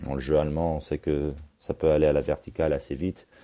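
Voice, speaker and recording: The tone is dark and mellow. Intonation stays monotone and flat at a moderate pace. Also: man. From Australia (Canberra), French parents. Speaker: youth football coach. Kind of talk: interview. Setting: remote call. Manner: halting.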